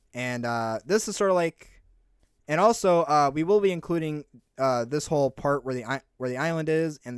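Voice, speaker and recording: On a very clean recording with a silent background and a dry, close sound with no echo, a man with a fairly high pitch speaks at a moderate pace with ordinary pitch variation. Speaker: gaming youtuber. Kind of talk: gameplay commentary. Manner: halting, many fillers.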